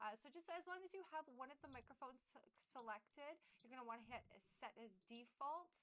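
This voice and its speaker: Loud, fairly quick speech from a woman, with lively intonation and hardly any pauses. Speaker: streamer. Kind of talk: tutorial. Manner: halting.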